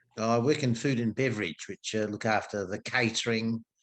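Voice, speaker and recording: A man talks at a fairly low pitch in an Australian accent. His pace is moderate and the background is quiet. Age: 60s. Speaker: golf club food and beverage worker. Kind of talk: casual chat.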